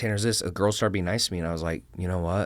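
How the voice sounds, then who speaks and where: This man's voice sits at a very deep, low pitch. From Texas. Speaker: business consultant. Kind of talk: interview conversation. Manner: casual, filler-heavy.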